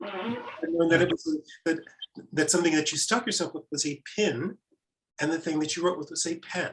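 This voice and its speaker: With an American accent, a man talks at a high pitch with ordinary pitch variation. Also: moderate pace. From Mississippi, Piney Woods. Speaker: author. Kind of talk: panel conversation.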